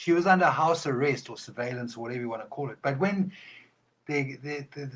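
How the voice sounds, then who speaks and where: A man's somewhat breathy voice, fairly high in pitch, with ordinary pitch variation. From South Africa, Eastern Cape. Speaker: podcast guest. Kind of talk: casual interview chat.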